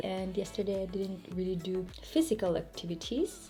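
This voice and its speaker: With music playing in the background, a woman with a French accent speaks at a moderate pace and a medium pitch. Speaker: hair care vlogger. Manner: casual, demonstrative.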